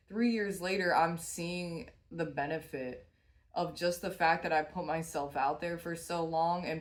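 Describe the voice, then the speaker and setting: A woman with a very deep, low pitch speaks at a fairly slow pace, and the room echo is audible. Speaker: tarot reader and small business owner. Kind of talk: tarot reading monologue. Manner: casual, with frequent fillers.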